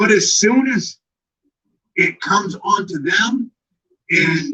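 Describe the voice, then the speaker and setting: Projected and raised, this voice carries a sharp, bright tone. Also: man. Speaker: YouTube commentator. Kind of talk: live-stream rant. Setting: live stream. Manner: animated.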